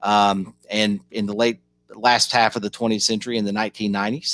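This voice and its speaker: Dry and close with no echo, a man with a Kentucky accent speaks at a fairly low pitch in a flat monotone. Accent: Southern US (Kentucky). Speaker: policy organization director. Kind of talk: online panel presentation. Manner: halting, many fillers.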